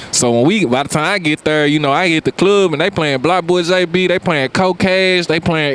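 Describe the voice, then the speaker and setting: Over noticeable background noise, a man with a Memphis accent talks very fast in a high pitch with ordinary pitch variation. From US South, Memphis, Tennessee. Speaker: rapper. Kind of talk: casual interview chat. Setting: outdoors on a beach.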